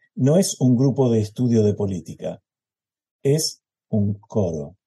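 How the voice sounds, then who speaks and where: In a Rioplatense accent, a man speaks with a dark, mellow tone and a somewhat breathy quality. His pitch is medium, and his intonation is lively. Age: 70s. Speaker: choral conductor. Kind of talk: interview.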